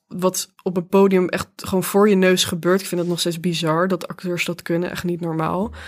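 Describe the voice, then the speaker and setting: The recording is very clean, and the background is silent. A woman does the talking. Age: 20s. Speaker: playwright. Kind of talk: interview.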